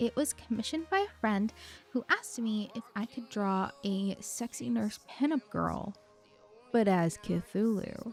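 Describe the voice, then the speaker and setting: A woman talks in a fairly high voice. Behind her, music is playing. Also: ordinary pitch variation. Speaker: digital artist. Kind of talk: voiceover commentary on a speedpaint.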